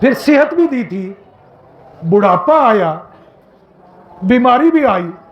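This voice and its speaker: Against noticeable background noise and audible room echo, a man speaks at an extremely high pitch with very wide pitch swings and long, frequent pauses. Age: 60s. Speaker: Islamic preacher, professor. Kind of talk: Eid sermon. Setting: outdoor Eid prayer ground with congregation. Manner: emotional, impassioned.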